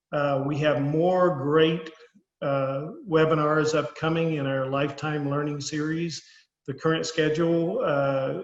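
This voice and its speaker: Speaking fairly slowly in a monotone, flat way, a man with a Southern US accent has a fairly high pitch. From US South. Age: old. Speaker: financial advisor hosting a webinar. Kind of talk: webinar closing remarks. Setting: online webinar. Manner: frequent hesitations with uh.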